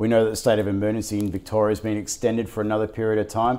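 Speaking very fast with an Australian accent, a man with a fairly low-pitched voice and a dark, mellow tone is heard on a very clean recording with a silent background. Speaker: financial news show co-host. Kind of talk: casual market wrap-up chat. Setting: studio. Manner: frequent hesitations and filler.

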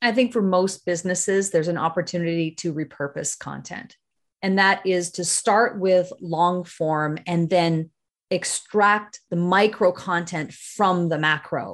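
Against a quiet background, a woman with a Canadian accent and a plain, everyday voice speaks at a fairly slow pace with a fairly low pitch and fairly even intonation. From Northern Ontario, Canada. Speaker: video marketing consultant, former TV broadcaster. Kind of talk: interview.

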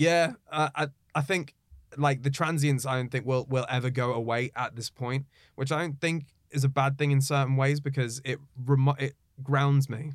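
A man with a British accent, fairly high pitch, monotone, flat intonation and a moderate pace. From Egypt, raised in the UK from age three. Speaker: radio presenter. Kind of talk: casual chat.

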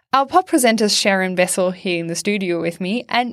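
A woman with a German accent and ordinary pitch variation. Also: very clean recording, silent background. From Germany. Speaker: podcast host. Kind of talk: podcast hosting. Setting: studio.

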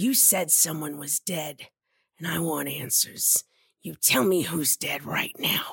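A woman speaks in a put-on character voice, raspy and very deep in pitch. Her pace is fairly slow, and the sound is dry and close with no echo. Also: ordinary pitch variation. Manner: pushy, intense, paranoid.

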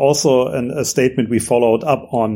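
The tone is dark and mellow, with a German accent. Delivery is fairly quick with fairly even intonation. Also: man. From Germany. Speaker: entrepreneur. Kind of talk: interview.

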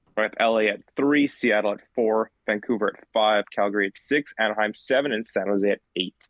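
Here a man with an unremarkable speaking voice talks at a medium pitch with fairly even intonation. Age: 20s. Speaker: podcast host. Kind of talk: casual chat. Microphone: echo.

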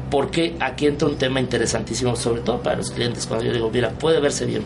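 Through noticeable background noise and audible room echo, a man talks at a very fast pace. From Mérida, Yucatán, Mexico. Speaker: graphic designer. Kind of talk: radio interview.

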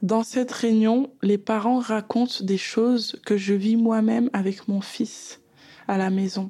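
Her tone dark, mellow and somewhat breathy, a woman with a fairly high pitch speaks at a very slow pace with fairly even intonation. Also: very even loudness. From Paris suburbs, France. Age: 30s. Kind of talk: personal testimony. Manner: hesitant, many fillers.

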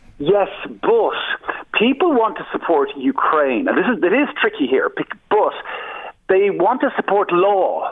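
Amid noticeable background noise, a man with an Irish accent and a high pitch speaks at a fairly slow pace, with very wide pitch swings and long, frequent pauses. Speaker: anti-war activist. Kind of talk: radio interview.

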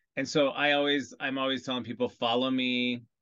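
A man with an American accent and an unremarkable speaking voice, medium-pitched, at a moderate pace with fairly even intonation. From US Midwest, Iowa. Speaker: celebrity hairstylist. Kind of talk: casual chat.

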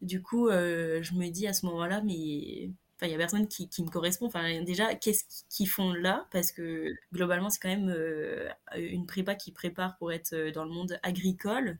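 Her pitch is fairly low for a woman. She speaks at a moderate pace with fairly even intonation. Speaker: agronomy engineering student. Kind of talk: casual interview.

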